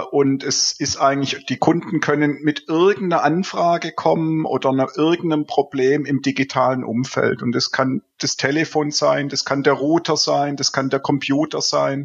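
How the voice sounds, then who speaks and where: A man speaks at a moderate pace with hardly any pauses. His pitch is fairly high and his intonation fairly even. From Swabia, southern Germany. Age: 50s. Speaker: IT consultant and business owner. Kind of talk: casual interview. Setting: remote call from home office. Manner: halting, many filler sounds.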